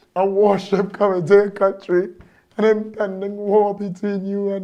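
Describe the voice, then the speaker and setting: At a moderate pace, a high-pitched man speaks in an animated tone. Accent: Trinidadian. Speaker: political commentator. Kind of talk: live commentary show.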